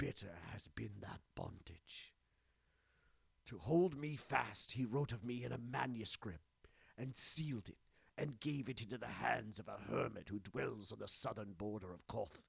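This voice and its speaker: Putting on a character voice, a man at medium pitch moves at a moderate pace with lively intonation. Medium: read story. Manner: intense, grim.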